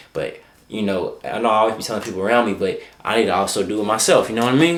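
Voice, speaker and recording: The man's voice sits at a medium pitch with ordinary pitch variation. He speaks at a very fast pace, with audible room echo. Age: young. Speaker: vlogger and content creator. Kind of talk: casual vlog talk to camera. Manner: halting, stuttering at times.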